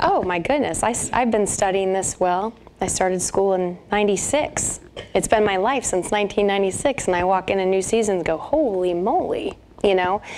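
Light background noise sits behind a woman speaking at a moderate pace, her pitch varying in an ordinary way and her loudness very even. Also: medium pitch for a woman. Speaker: naturopathic doctor. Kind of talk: radio interview answer. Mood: warm, friendly.

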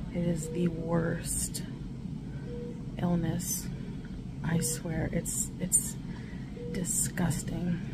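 Music plays in the background as a woman talks with long, frequent pauses. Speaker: vlogger. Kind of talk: casual vlog chat. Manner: weak, slow, tired sick voice. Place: home room. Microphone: phone near.

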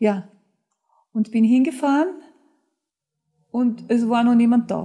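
At a very slow pace, a woman talks in a fairly high pitch with ordinary pitch variation against a quiet background. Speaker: author, actress, dubbing voice and TV presenter; actress, TV presenter. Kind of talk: interview answer, anecdote telling. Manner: lively, humorous. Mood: lively, amused anecdote telling. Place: studio.

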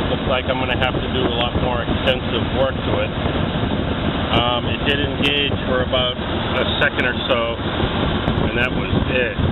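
Loud background noise sits behind a man speaking at a moderate pace with long, frequent pauses. The sound is dry with no echo. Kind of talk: tutorial. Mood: mildly disappointed then satisfied. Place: garage. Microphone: phone near.

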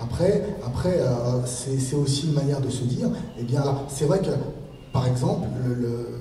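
A man is speaking. Light background noise and audible room echo can be heard. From France, Argenteuil (Paris suburbs). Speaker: author and former TV presenter. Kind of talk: author talk with audience Q&A.

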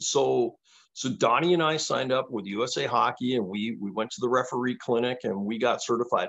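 Against a quiet background, a man with a Canadian accent and vocal fry speaks at a fairly quick pace with ordinary pitch variation. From Canada, Toronto. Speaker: former handball champion; podcast guest. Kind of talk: casual interview chat. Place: home room. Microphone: video call.

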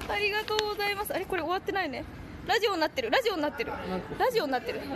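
Over crowd noise in the background, a woman talks at a very fast pace with lively intonation. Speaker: band drummer livestreaming. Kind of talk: casual livestream chat. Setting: outdoors walking the streets. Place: street. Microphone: phone near.

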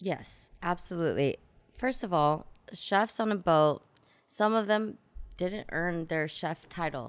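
Slow-paced and fairly low in pitch, a woman speaks with lively intonation in an unremarkable speaking voice. The recording is very clean, with a silent background. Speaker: yacht stewardess. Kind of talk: casual chat. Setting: studio.

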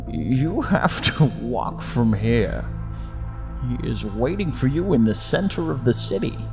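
Loud music plays in the background as a man uses a put-on character voice at a fairly slow pace. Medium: read story. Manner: cryptic, amused.

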